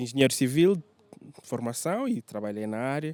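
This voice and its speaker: A man speaks at a fairly high pitch in a dark, mellow tone. The sound is dry and close, with no echo. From Angola, Lubango and Luanda. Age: 30s. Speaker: tour guide and photographer. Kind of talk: interview. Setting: hotel.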